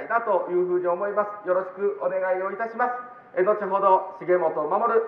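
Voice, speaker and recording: A man's moderately paced speech, fairly even in intonation, carries audible room echo. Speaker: local politician. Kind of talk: street campaign speech. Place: street. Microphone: camera far.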